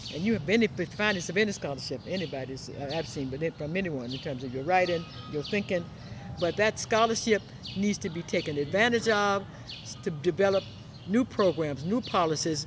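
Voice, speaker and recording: A woman's somewhat breathy, fairly low voice with an American accent, lively intonation and a moderate pace. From US South. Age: 70s. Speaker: talk show host. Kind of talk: interview.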